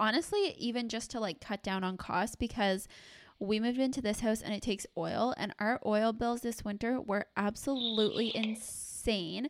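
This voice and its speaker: Intonation stays fairly even while the words come at a moderate pace. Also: woman, fairly high pitch for a woman. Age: 20s. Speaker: podcast co-host. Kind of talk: casual chat. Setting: remote recording from home.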